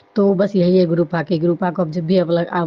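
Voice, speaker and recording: A woman talks at a moderate pace, her intonation monotone and flat. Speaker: devotee sharing testimony. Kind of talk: testimony. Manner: halting with fillers.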